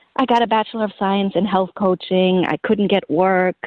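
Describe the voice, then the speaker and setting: The speaker has a German accent. The intonation is flat and monotone. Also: woman. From Germany. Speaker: holistic health coach and author. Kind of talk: interview.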